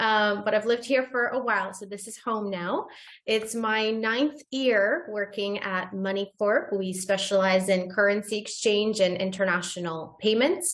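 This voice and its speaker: The speech moves at a moderate pace with ordinary pitch variation and hardly any pauses. Noticeable background noise runs underneath. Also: woman, medium pitch for a woman, big swings in loudness. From Bulgaria. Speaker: currency exchange business manager. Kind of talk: panel discussion.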